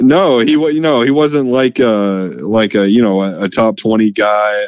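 A man's plain, everyday voice at medium pitch, fairly slow, with ordinary pitch variation. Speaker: sportswriter. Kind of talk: casual sports interview.

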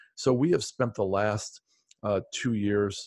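The man speaks with an ordinary speaking voice at a fairly low pitch. The background is quiet. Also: dry, close sound with no echo. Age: 50s. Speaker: real estate investor. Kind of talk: interview.

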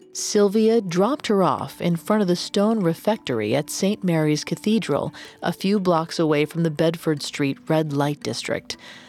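In a plain, everyday voice, a woman speaks at a moderate pace and fairly low pitch with lively intonation, hardly any pauses, and very even loudness. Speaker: podcast narrator. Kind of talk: true-crime narration. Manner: measured, grave storytelling tone.

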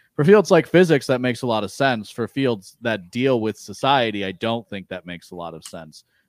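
Medium in pitch, a man speaks with an American accent in an ordinary speaking voice at a fairly quick pace, with lively intonation and big swings in loudness. The sound is dry and close with no echo, on a very clean recording with a silent background. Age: 30s. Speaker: podcast guest discussing philosophy and libertarianism. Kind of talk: casual chat.

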